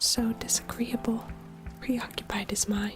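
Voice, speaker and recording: A soft-spoken woman whispering at a very slow pace over music in the background. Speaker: vtuber streamer. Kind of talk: ASMR audiobook reading of a classic novel. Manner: whispered, soft.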